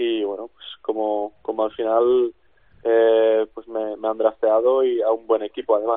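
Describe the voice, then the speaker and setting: Speaking fairly slowly, a man holds a medium pitch in a flat, monotone way. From Czech Republic. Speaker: basketball player. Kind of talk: interview. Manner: halting.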